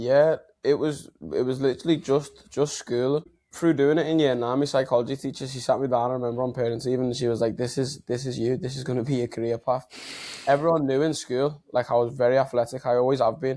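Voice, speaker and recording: With a Liverpool accent, a man speaks at a very fast pace in a medium-pitched voice with a dark, mellow tone and fairly even intonation. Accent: Liverpool (Scouse). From Liverpool, England. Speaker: health and mindset coach. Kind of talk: podcast interview.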